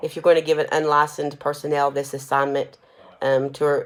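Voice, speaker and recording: A woman talking at a fairly quick pace. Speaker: nursing instructor. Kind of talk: recorded lecture. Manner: fast; casual, with fillers.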